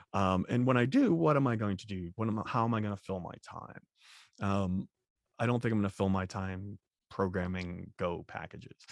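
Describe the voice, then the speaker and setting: A man with a normal speaking voice, fairly low in pitch, with an American accent, in a dry, close sound with no echo on a very clean recording with a silent background. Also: ordinary pitch variation, moderate pace, big swings in loudness. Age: 40s. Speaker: software developer and trainer. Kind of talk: interview.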